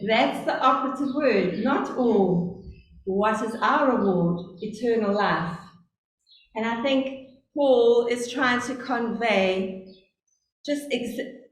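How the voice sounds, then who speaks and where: Amid audible room echo, a woman in a South African accent speaks very slowly at a fairly high pitch, with ordinary pitch variation and long, frequent pauses. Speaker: lay preacher. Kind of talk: sermon. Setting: church service. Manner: deliberately slow.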